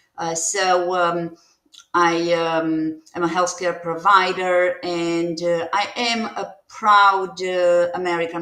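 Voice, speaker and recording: In a Romanian accent, a woman speaks at a very slow pace with a bright, sharp tone, fairly low pitch and monotone, flat intonation. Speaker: nurse practitioner and former diplomat. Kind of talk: interview testimony. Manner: halting, many fillers.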